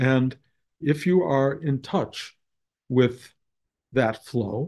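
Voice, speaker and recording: A man talks with a dark, mellow tone and ordinary pitch variation. The background is quiet. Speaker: spiritual teacher. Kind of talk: talk to students. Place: home room. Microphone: webcam.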